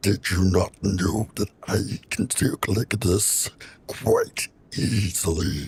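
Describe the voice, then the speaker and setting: Someone puts on a raspy character voice with a playful tone, speaking at a very slow pace. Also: man, fairly low pitch for a man. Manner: playful, showing off the low voice.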